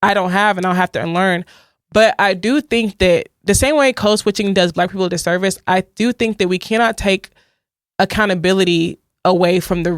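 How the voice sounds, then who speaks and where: A woman talks fairly quickly, her medium-pitched voice holding a fairly even intonation. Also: dry, close sound with no echo. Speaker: podcast co-host. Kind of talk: casual chat. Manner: fast.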